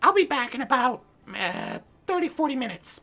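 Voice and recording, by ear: This is a put-on character voice that sounds female, pitched high for a woman. The pace is fairly quick.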